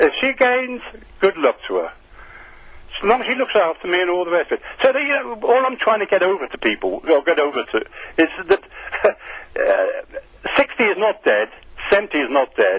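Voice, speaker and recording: Long, frequent pauses in a man's moderately paced speech, over noticeable background noise. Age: 70s. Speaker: caller. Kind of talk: radio phone-in.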